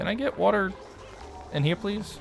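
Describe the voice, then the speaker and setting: A man with an American accent, music in the background. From US South, Louisiana. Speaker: game streamer. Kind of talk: casual live-stream gameplay chat.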